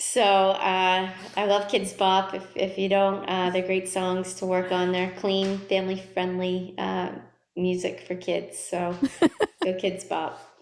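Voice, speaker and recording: Speaking very slowly, a woman keeps a medium pitch and a monotone, flat intonation. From New Hampshire. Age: 30s. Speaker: soprano singer and voice teacher. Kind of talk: interview answer. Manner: casual, friendly.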